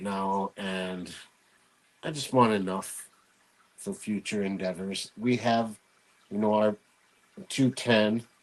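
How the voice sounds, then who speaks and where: A soft-spoken, mumbling man with a fairly low pitch. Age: 40s. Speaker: hobbyist podcast host. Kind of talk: casual chat.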